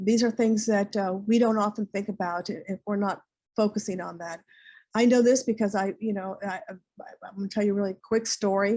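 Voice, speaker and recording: A woman speaks at medium pitch and a fairly quick pace, with a dark, mellow tone. Her intonation is fairly even, though her loudness swings widely. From US, raised in Colombian household, lived in Central/South America. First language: Spanish. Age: 60s. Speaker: clinical social worker. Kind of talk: lecture. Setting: webinar. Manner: halting, many repetitions.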